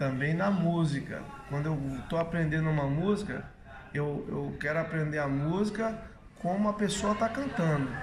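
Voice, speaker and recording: A man talks at a fairly high pitch. Noticeable background noise and audible room echo fill the recording. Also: ordinary pitch variation, moderate pace. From Minas Gerais, Brazil (Curvelo). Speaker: capoeira master. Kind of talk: interview.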